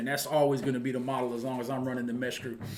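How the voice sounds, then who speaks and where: A man speaks at a very fast pace. Room echo is audible. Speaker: football coach and channel host. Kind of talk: casual monologue to viewers.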